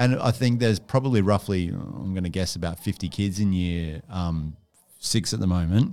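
This man has an Australian accent and a very deep, low pitch with ordinary pitch variation. His tone is dark and mellow, and he talks at a moderate pace. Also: very clean recording, silent background. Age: 30s. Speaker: primary school teacher. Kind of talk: school podcast interview. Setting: studio.

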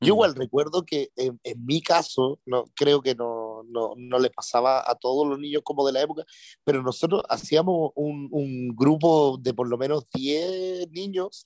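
An ordinary speaking voice comes from a man with a fairly high pitch and ordinary pitch variation. The sound is dry and close, with no echo. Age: 30s. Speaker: radio DJ. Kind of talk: casual chat.

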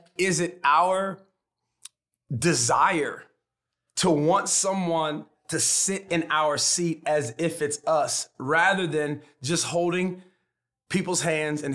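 A man speaks with fairly even intonation at a fairly high pitch. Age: 40s. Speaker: pastor and author. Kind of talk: casual chat.

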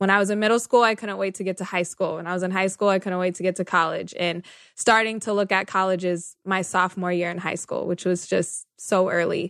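Speaking at a medium pitch in a flat monotone, a woman talks at a fairly quick pace with hardly any pauses over a quiet background. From Northern California. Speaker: journalist and media manager. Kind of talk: interview.

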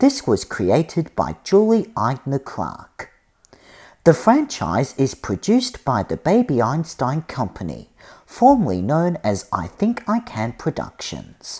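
Speaking very slowly with vocal fry, a man uses a fairly high pitch that swings very widely. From Australia. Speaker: podcast host. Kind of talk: scripted narration.

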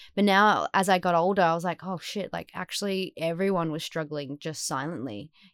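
A woman with an Australian accent talks at a fairly quick pace and fairly low pitch with ordinary pitch variation, in a dry, close sound with no echo. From Western Australia, Perth. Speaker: actor. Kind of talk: casual chat. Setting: remote call.

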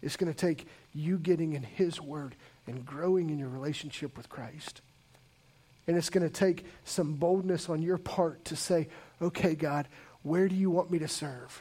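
A man with a fairly high pitch and a dark, mellow tone speaks at a moderate pace. His loudness swings widely, and he takes long, frequent pauses. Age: 40s. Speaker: pastor. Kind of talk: sermon. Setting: church. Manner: animated.

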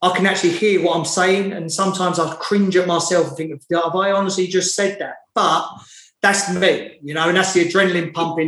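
A man's high, flat, monotone voice at a fairly quick pace, with audible room echo. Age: 30s. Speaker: footballer. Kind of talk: interview.

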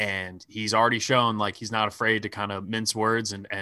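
A man speaks at a moderate pace with an American accent, his medium-pitched voice bright and sharp in tone. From suburban Philadelphia. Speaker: podcast host. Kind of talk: casual chat.

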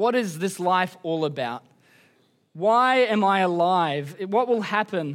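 A man with a high pitch and ordinary pitch variation is heard on a very clean recording with a silent background. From Queensland, Australia. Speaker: pastor. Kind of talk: sermon. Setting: church service.

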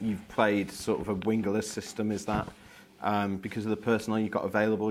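This man's voice sits rather low. He talks extremely fast. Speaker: journalist. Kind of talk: press conference questions.

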